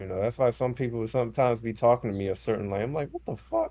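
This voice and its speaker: The voice has a dark, mellow tone and is somewhat breathy. It moves at a very fast pace with ordinary pitch variation. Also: man. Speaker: basketball podcast host. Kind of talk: casual chat.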